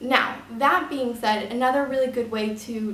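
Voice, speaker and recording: The clip carries noticeable background noise. There is also audible room echo. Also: woman. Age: 20s. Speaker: model and photographer. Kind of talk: tutorial. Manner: casual, filler-heavy.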